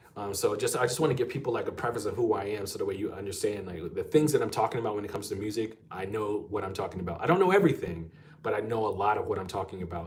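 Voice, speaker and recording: A man rattles on at a very fast pace with hardly any pauses. Audible room echo surrounds the speech. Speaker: guitar teacher and session guitarist. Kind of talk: live stream Q&A. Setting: live stream. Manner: casual, many fillers.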